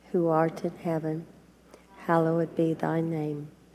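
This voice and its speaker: Over light background noise, a woman speaks very slowly at a fairly low pitch. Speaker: church prayer leader. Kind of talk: fervent congregational prayer, leading the Lord's Prayer. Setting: church. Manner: solemn, reverent, earnest. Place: church. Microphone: podium.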